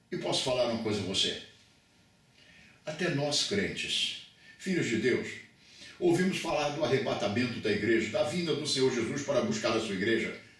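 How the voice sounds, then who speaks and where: A man speaks at a moderate pace and fairly high pitch with very wide pitch swings and long, frequent pauses, amid noticeable background noise and audible room echo. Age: 70s. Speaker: pastor. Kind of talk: bible lecture.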